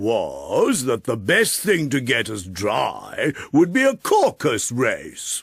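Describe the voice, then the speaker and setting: Very slow, put-on character voice from a man. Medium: audio drama. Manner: solemn, pompous, formal.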